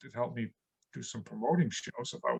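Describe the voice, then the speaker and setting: In dry, close sound with no echo, a man talks at a very fast pace with vocal fry and a medium pitch. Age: 60s. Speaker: comedian. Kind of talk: casual chat.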